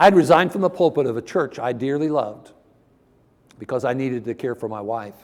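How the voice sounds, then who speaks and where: With a Midwestern American accent, a man talks at a fairly quick pace, his fairly high pitch showing ordinary variation. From Ohio, US Midwest. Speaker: preacher. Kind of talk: sermon.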